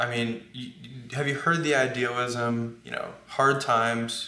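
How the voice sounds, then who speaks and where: A man's medium-pitched voice at a fairly slow pace, with audible room echo and noticeable background noise. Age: 20s. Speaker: book cover model. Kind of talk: casual chat.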